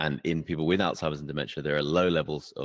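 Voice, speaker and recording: In an English accent, the speaker talks at a very fast pace with monotone, flat intonation, in a dry, close sound with no echo. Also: man. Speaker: podcast host. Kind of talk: podcast interview questions.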